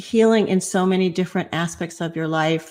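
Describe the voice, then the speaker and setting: The recording is very clean, with a silent background. A woman speaks in a plain, everyday voice at a medium pitch. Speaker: podcast host. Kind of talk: show introduction.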